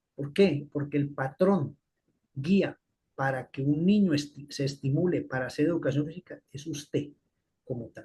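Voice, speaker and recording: A man's somewhat breathy, fairly high voice has a dark, mellow tone, moving at a fairly slow pace with ordinary pitch variation. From Colombia. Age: 60s. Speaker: physiology professor. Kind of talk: lecture.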